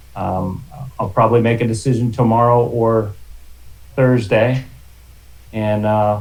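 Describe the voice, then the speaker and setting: Speaking fairly slowly, a man pauses long and often. His medium pitch is monotone and flat, with audible room echo. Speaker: library facilities manager. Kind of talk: committee meeting update. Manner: loud.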